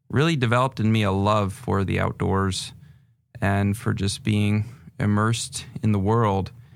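On a very clean recording with a silent background, a man with an American accent talks at a fairly slow pace in an ordinary speaking voice, fairly low in pitch with fairly even intonation. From northern New Hampshire, US. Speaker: pastor and nonprofit director. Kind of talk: casual interview conversation.

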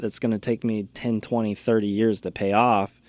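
On a very clean recording with a silent background, a man with an American accent and a plain, everyday voice speaks at a moderate pace in a medium pitch. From US Midwest, small-town Indiana. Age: 20s. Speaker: podcast producer. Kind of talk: casual interview.

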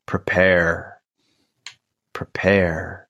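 A man performs a put-on character voice. He pitches it very deep and low. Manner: ominous.

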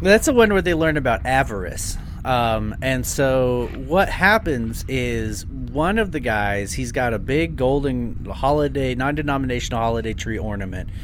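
Against noticeable background noise, the voice takes a playful tone at a moderate pace. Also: man. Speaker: podcast host. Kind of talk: casual comedic chat, riffing on a movie-riffing show. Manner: playful, joking, banter.

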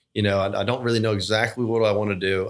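The recording is very clean with a silent background, carrying monotone, flat intonation in a Georgia accent. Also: man. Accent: US Southern (Georgia). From South Georgia, US (Thomasville). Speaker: trust officer and portfolio manager. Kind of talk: casual interview. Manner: halting, with repeated words.

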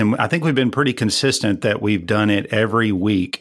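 This man has a plain, everyday voice at a medium pitch. He speaks at a moderate pace with ordinary pitch variation. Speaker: fastener company operator. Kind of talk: casual chat. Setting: video call.

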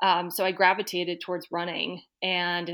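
A woman with an American accent speaks at a moderate pace and a medium pitch, in a plain, everyday voice. The recording is very clean, with a silent background. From Boston area, Massachusetts. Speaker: amateur runner. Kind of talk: interview.

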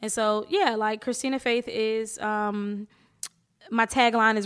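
A woman speaks at a fairly high pitch in an American accent. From Atlantic City, New Jersey. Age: 30s. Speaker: podcast host. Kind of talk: casual chat. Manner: animated, playful.

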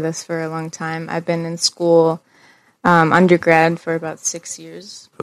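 A woman with an American accent has a normal speaking voice, pitched fairly low. She talks at a fairly slow pace in a very clean recording with a silent background. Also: dry, close sound with no echo. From western Pennsylvania, Du Bois. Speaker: graphic designer and poet. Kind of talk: casual chat.

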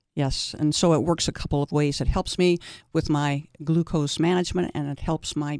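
At a moderate pace, a woman talks with a very deep, low pitch and fairly even intonation. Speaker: senior softball player. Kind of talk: interview.

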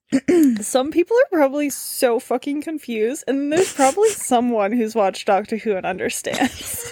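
A woman at a high pitch with very wide pitch swings, against noticeable background noise. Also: moderate pace. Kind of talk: casual chat. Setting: at home.

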